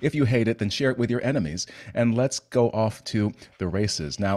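A man speaks at a fairly quick pace, with a quiet background. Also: ordinary pitch variation. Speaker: podcast host. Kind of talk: podcast intro chat. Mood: playful, joking. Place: home room. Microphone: studio mic.

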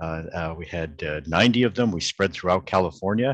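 A man talks at a moderate pace in a very deep, low voice with ordinary pitch variation. The sound is dry, with no echo. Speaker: pediatrician and medical professor. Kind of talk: interview in an online meeting. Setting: video call. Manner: halting, many filler repetitions. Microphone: video call.

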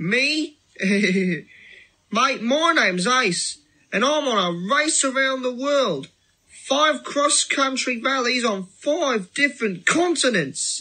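A put-on character voice sits at a fairly high pitch. It moves at a very slow pace. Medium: audio drama. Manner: casual, breezy.

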